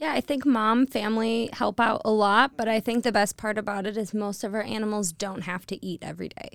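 A woman with a slight Michigan accent talks at a fairly quick pace with hardly any pauses, her fairly high pitch held in fairly even intonation, in a very clean recording with a silent background and a dry, close sound with no echo. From Detroit, Michigan. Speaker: wine tour owner. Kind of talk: casual chat. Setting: studio.

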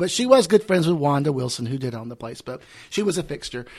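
With a Southern US accent, a man talks at a moderate pace with very wide pitch swings. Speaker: drag performer and podcast host. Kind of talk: casual chat.

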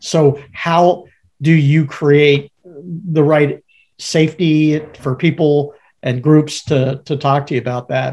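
A man with a fairly high, somewhat breathy voice speaks very slowly in a monotone, flat intonation. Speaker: podcast co-host, organizational consultant. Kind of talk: casual conversational podcast.

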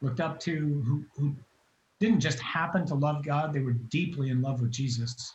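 Moderate pace and fairly even intonation from a man with a somewhat breathy, fairly high voice. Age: 50s. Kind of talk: testimony.

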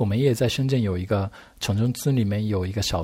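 On a very clean recording with a silent background, a man speaks with a dark, mellow tone, somewhat breathy, and ordinary pitch variation. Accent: Japanese. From Japan. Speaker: architect. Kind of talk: casual interview chat. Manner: halting, hesitant with fillers.

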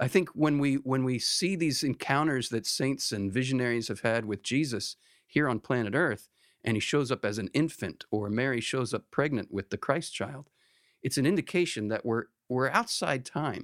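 A plain, everyday voice from a man, medium in pitch with ordinary pitch variation and a moderate pace, dry and close with no echo, on a very clean recording against a silent background. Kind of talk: casual conversational podcast with theological discussion.

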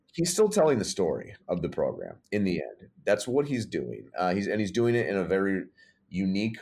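A man with an American accent has an unremarkable speaking voice, fairly low in pitch with ordinary pitch variation. The recording is very clean and the background silent. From Michigan (Detroit suburbs), also Massachusetts. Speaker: college sports creative/brand staffer. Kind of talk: casual interview.

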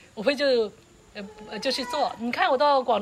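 There is noticeable background noise as a woman talks. She speaks quickly, at a fairly high pitch. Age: 60s. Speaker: interviewee, host's aunt. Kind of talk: casual interview. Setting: outdoors, roadside in mountains. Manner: halting, repetitive.

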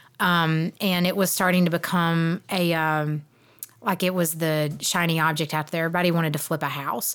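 In a very clean recording with a silent background, a woman with a Southern US accent speaks at a fairly quick pace, her fairly low pitch held in fairly even intonation. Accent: Southern American. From South Georgia, US South. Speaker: real estate investor and podcast co-host, former teacher. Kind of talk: casual chat.

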